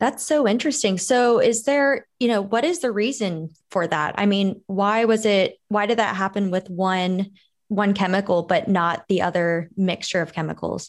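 An unremarkable speaking voice from a woman, medium in pitch, with ordinary pitch variation, a moderate pace and very even loudness. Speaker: podcast co-host. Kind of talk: casual chat.

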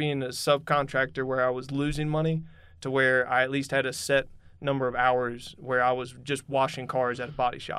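A man with a Southern US accent talks at medium pitch and a fairly quick pace. His tone is bright and sharp, and his intonation is flat and monotone. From North Carolina, Huntersville area. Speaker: construction supervisor. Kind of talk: casual interview. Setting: studio.

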